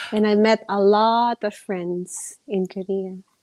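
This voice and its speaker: A woman's medium-pitched voice, dark and mellow, with fairly even intonation and a dry, close sound free of echo. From Philippines. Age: 30s. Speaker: fitness influencer. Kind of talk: interview.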